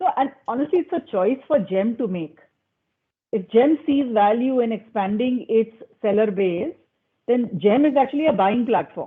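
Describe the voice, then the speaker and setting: This woman speaks with an Indian accent. Her pitch sits fairly high. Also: lively intonation, moderate pace. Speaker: panelist on digital commerce. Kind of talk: panel discussion.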